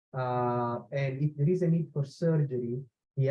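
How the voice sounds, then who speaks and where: The man's intonation stays fairly even, and his voice is somewhat breathy. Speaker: engineering professor. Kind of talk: webinar Q&A answer. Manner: hesitant, many fillers.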